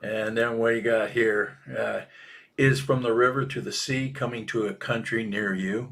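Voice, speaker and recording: A man's plain, everyday voice at a medium pitch, with fairly even intonation and a moderate pace. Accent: American. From Minnesota. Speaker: political cartoonist. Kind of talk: casual chat. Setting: live podcast.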